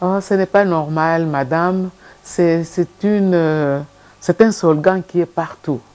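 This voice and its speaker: A woman speaks in a fairly low voice with ordinary pitch variation. Her pace is very slow, broken by long, frequent pauses. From DR Congo. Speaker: civil society leader; guest. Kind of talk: TV interview. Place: studio.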